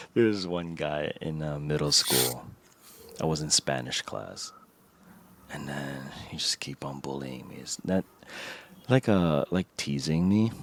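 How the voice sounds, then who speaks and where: With a slight Filipino accent, the speaker goes at a fairly slow pace with long, frequent pauses, big swings in loudness and ordinary pitch variation, in a dry, close sound with no echo. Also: man, very deep, low pitch for a man. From Philippines. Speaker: podcast co-host. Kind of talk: casual chat. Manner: halting.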